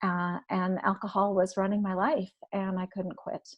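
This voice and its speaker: Somewhat breathy and medium in pitch, a woman talks at a moderate pace against a quiet background, the sound dry and close with no echo. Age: 50s. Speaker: recovery blogger and author. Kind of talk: testimony. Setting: live-streamed online podcast panel.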